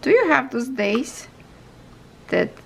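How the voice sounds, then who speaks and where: A woman speaks at a very slow pace with a Ukrainian accent, over noticeable background noise. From Ukraine. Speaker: crafts YouTuber. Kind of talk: casual vlog tutorial. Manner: halting, tripping over words.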